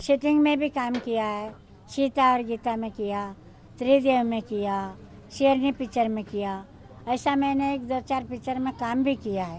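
Very slow and high-pitched, a woman's voice shows ordinary pitch variation, dry sound with no echo and light background noise. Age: 80s+. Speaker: street performer. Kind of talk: interview; interview answer. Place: street. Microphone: handheld.

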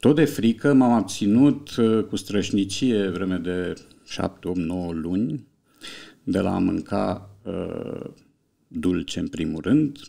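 A man talks in a dark, mellow tone, leaving long, frequent pauses. The background is quiet. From Romania. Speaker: writer and translator; podcast guest. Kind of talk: casual chat. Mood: calm, reflective, wry. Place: studio. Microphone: studio mic.

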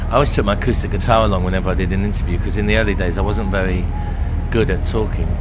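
A man at a very fast pace over loud background noise. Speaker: rock singer and musician. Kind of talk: casual backstage interview. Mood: relaxed, reflective. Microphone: handheld.

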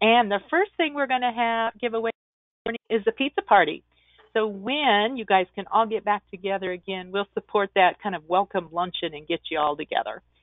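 In a quiet background with a dry sound and no echo, a woman speaks at a moderate pace. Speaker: virtual conference host. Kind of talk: webinar introduction and announcements. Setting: video call. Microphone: webcam.

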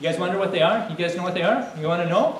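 Light background noise and noticeable room echo behind a male speaker. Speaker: presenter. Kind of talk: lively talk to a child audience. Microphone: podium.

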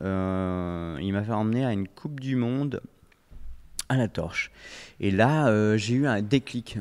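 A man with lively intonation speaks very slowly against a quiet background. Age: 40s. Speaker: former pro windsurfer, oriental medicine practitioner; podcast guest. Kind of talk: interview. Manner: halting. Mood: calm, reflective storytelling. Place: studio. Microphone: studio mic.

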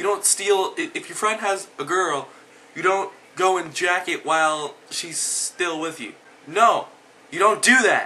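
Raised and projected, a man's high voice moves at a fairly slow pace with ordinary pitch variation and big swings in loudness against noticeable background noise. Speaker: video blogger. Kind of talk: angry rant. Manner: animated.

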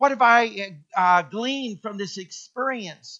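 In a raised, projected voice, a man speaks with a bright, sharp tone. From Kenya. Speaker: pastor. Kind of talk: sermon.

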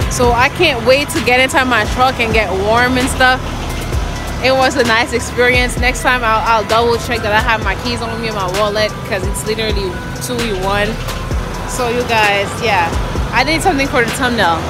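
A woman at a moderate pace with ordinary pitch variation, clear music behind her, dry sound with no echo. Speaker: truck driver vlogger. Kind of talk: casual vlog chat. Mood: upbeat, relieved. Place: street. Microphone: phone near.

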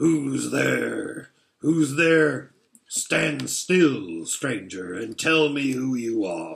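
A growling, put-on character voice speaks at a very slow pace. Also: man, medium pitch for a man. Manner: menacing, demanding.

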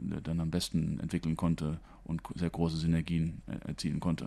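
The speaker is a man. He has a dark, mellow tone. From Germany. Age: 50s. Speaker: school principal. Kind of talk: interview. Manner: hesitant with fillers. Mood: friendly, calm. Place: office.

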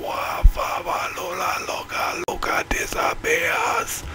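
Loud background noise runs under a man doing a put-on character voice. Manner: theatrical gaming roleplay.

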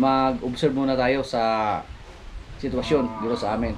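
Noticeable background noise sits behind a man speaking. His intonation is monotone and flat, and his pace is moderate. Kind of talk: casual vlog chat. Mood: calm, somewhat worried. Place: farm. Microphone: phone near.

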